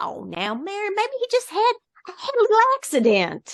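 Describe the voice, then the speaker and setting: A put-on character voice with an extremely high pitch. It moves at a moderate pace. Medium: read story. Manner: gentle, easygoing.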